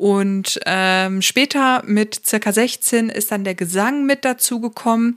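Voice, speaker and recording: A woman at a very slow pace with hardly any pauses and ordinary pitch variation, in a dry, close, echo-free sound on a very clean recording with a silent background. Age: 30s. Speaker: podcast host, psychotherapy practitioner and coach. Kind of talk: solo podcast monologue. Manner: casual with many fillers.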